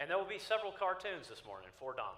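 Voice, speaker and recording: There is lively intonation in this man's speech. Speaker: Bible class teacher. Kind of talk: Bible class lecture. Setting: church auditorium with audience. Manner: fast.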